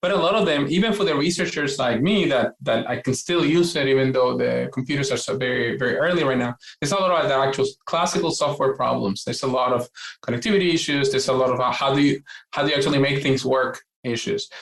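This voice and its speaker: A man with a Puerto Rican accent talks at a very fast pace and a fairly high pitch. His loudness stays very even, and his pitch varies in an ordinary way. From Puerto Rico. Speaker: quantum computing scientist. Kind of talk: interview. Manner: hesitant, many fillers and restarts.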